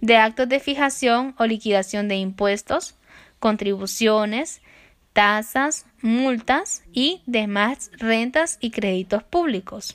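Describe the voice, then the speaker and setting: A woman's fairly high voice with ordinary pitch variation at a very slow pace. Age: 20s. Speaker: law student. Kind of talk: lecture. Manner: formal.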